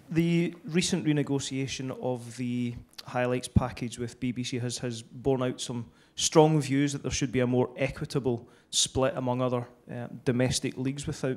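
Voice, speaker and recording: This man has a Scottish accent and a medium pitch. He talks at a moderate pace with fairly even intonation. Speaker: football association official, audience questioner. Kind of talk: audience question at panel.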